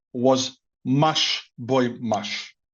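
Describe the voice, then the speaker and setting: The speaker is a man. He talks with a Greek accent. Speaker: podcast guest. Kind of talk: casual chat. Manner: halting, repeats words.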